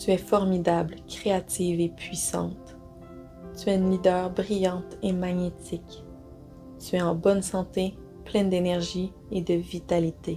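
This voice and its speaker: Over music in the background, a woman speaks at a fairly slow pace in a calm, soothing tone. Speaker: guided meditation guide. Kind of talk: guided meditation with positive affirmations. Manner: calm, soothing, slow.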